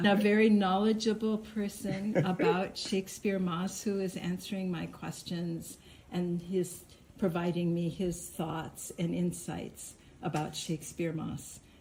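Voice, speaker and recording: A woman with a plain, everyday voice, medium pitch, fairly even intonation and a fairly slow pace. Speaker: interviewer.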